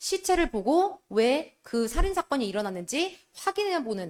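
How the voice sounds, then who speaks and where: With very wide pitch swings, a woman's high voice is captured dry and close with no echo. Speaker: high school English teacher. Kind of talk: lecture.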